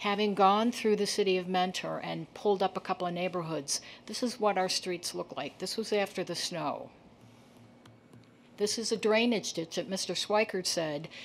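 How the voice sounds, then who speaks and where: The speaker has an unremarkable speaking voice. The pace is moderate, with fairly even intonation. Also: woman, medium pitch for a woman. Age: 60s. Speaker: resident speaking at public comment. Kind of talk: public comment at city council meeting. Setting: city council chamber.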